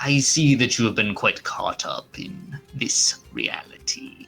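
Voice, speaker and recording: Faint music plays in the background as a man in a put-on character voice speaks at a fairly high pitch and a fairly slow pace. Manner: knowing, aloof.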